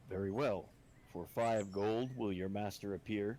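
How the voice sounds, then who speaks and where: Over clear background noise, a man puts on a character voice at a fairly low pitch, moving at a moderate pace with fairly even intonation. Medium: actual play. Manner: formal, measured.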